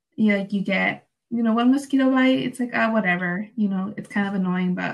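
At a fairly quick pace, a woman speaks with a somewhat breathy voice at medium pitch. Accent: Spanish. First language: Spanish. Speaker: student podcast host. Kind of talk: casual chat. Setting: remote recording.

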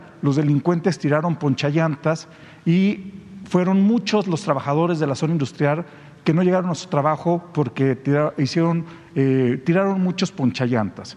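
This man's pitch varies in an ordinary way as he talks at a moderate speed. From Mexico, San Luis Potosí. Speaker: journalist. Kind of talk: press conference question.

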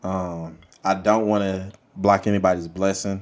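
Speaking with a Louisiana accent, a man talks at a fairly slow pace in a fairly low pitch. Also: very clean recording, silent background. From Monroe, Louisiana. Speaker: podcast host.

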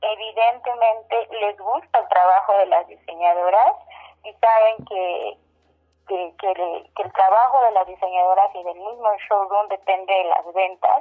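A woman's plain, everyday voice at a medium pitch, with ordinary pitch variation, big swings in loudness and a fairly slow pace. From Mexico, Oaxaca. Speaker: radio producer and showroom owner. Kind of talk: radio interview. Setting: phone call.

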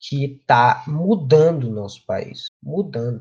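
Speaking at a fairly slow pace, a man has a fairly high pitch with very wide pitch swings. His voice is somewhat breathy. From Brazil, Rio Grande do Norte. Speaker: study group member. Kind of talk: presentation in online study group.

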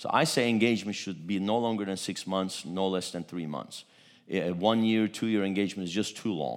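Fairly quick, fairly low-pitched speech from a man, with audible room echo and ordinary pitch variation. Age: 50s. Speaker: pastor. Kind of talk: sermon. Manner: animated.

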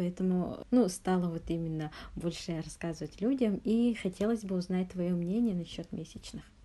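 This woman's voice sits at medium pitch. Her tone is dark and mellow. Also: ordinary pitch variation, moderate pace. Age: 20s. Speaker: podcast host. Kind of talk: interview.

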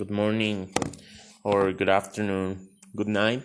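Over noticeable background noise, a man speaks with a fairly low pitch. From Mexico. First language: Spanish. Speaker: podcaster. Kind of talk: personal story monologue. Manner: halting.

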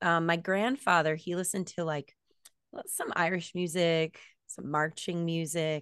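A woman with an American accent and a normal speaking voice talks fairly slowly at a fairly low pitch. The background is quiet. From US Florida. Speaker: band singer. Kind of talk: casual interview chat.

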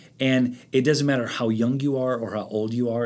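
Delivered at a moderate pace with fairly even intonation, it is a plain, everyday voice. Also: man. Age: 50s. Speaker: pastor. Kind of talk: interview.

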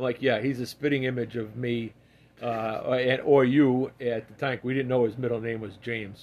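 This man speaks with a Massachusetts accent at a moderate pace. His medium-pitched delivery is monotone and flat. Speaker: podcast guest, host's father. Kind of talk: casual chat.

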